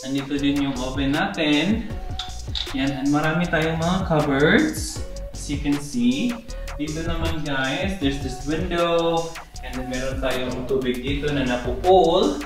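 A man talks at a fairly slow pace with audible room echo. Clear music plays in the background. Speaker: homeowner vlogger. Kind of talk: casual vlog house tour. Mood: cheerful, excited. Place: kitchen.

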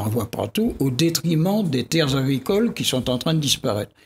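Over light background noise, a man speaks at a moderate pace with very wide pitch swings. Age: 80s+. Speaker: geographer and scientist; guest. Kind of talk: TV debate interview. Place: studio. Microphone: studio mic.

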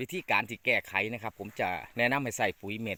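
A man talks in a bright, sharp tone. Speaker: farming channel host. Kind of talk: farming tutorial.

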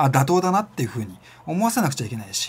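Very fast and somewhat breathy, a man's voice sits fairly high for a man. His pitch swings very widely. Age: 40s. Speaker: self-employed business vlogger; freelance business vlogger. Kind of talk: casual monologue vlog. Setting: home studio with camera and lights. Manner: filler-heavy, rambling delivery. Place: home room.

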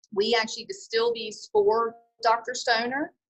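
Over a quiet background, a woman speaks at a high pitch. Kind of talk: product walkthrough. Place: shop. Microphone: phone near.

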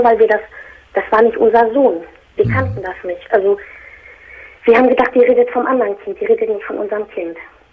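Through noticeable background noise, a woman with a fairly high pitch speaks with ordinary pitch variation and long, frequent pauses. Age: 30s. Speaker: caller. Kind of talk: personal phone-in conversation.

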